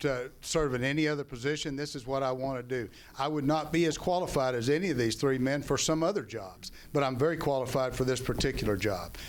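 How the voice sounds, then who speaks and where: A man with a medium-pitched voice talks at a fairly quick pace with audible room echo. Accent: American. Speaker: county official and candidate. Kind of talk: candidate forum closing statement. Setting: public forum with audience.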